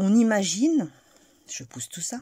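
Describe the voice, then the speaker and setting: A soft-spoken, somewhat breathy woman's voice of dark, mellow tone with very wide pitch swings, dry and close with no echo, in a very clean recording with a silent background. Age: 40s. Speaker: crochet tutorial creator. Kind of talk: tutorial.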